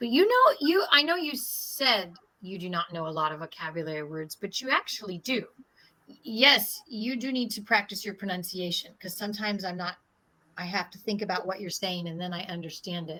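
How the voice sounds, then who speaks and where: With big swings in loudness and lively intonation, a woman with an American accent speaks at a fairly quick pace in an unremarkable speaking voice at medium pitch. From US. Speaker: English conversation partner. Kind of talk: casual conversation practice with corrections.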